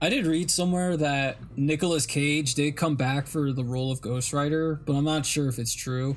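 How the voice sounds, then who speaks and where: Here is a man with an ordinary speaking voice, fairly high in pitch and fairly even in intonation. He keeps a moderate pace and very even loudness, with hardly any pauses. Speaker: live-streaming artist. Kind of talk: casual chat. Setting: live stream.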